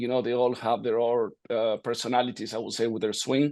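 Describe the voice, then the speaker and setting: Medium pitch and fairly even intonation from a man with an Argentine accent, over a quiet background. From Argentina, Buenos Aires. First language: Spanish. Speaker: golf coach. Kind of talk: interview.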